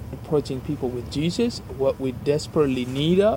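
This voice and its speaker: Clear background noise accompanies a man whose voice sits fairly high, with pitch that varies in an ordinary way. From South Asia. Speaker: missionary pastor. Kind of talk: interview.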